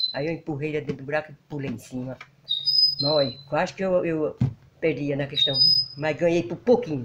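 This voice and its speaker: Over loud background noise, a woman talks at a fairly quick pace, leaving long, frequent pauses. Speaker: rural homemaker. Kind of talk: interview. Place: home room. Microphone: handheld.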